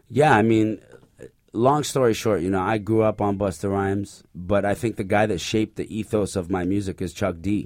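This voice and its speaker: A man has a normal speaking voice, fairly low in pitch with ordinary variation, moving at a moderate pace. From Canada and the UAE, born in Iraq. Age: 30s. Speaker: rapper. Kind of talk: interview. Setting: studio.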